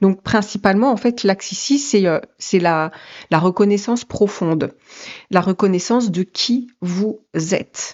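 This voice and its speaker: Ordinary pitch variation from a woman speaking at a very slow pace. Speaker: tarot and energy reader. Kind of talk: psychic reading. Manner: halting, many fillers.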